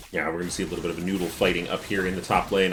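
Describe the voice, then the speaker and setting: A man speaks very fast at a fairly low pitch, with an American accent. Noticeable background noise can be heard. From US Midwest, Michigan. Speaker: esports caster. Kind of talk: live commentary.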